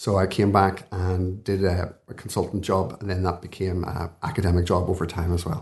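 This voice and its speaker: With a Belfast accent, a man speaks at a fairly low pitch against a quiet background. His intonation stays monotone and flat. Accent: Belfast (Northern Irish). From Belfast, Northern Ireland. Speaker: consultant intensivist and professor. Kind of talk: interview conversation.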